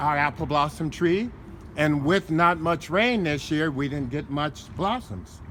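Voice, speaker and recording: A man's fairly high voice, fairly slow pace and lively intonation amid noticeable background noise. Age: 70s. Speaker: home gardener. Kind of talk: interview. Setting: outdoors.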